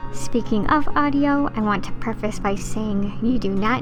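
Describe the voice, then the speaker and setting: Backed by music, a woman speaks at a moderate pace with lively intonation. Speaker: gaming content creator. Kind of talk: casual voiceover tutorial.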